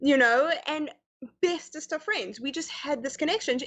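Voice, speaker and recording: With lively intonation, a woman speaks at a fairly quick pace. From South Africa (Pretoria), then Canada. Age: young. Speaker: guest on interview show. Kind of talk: casual interview chat. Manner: halting, many fillers.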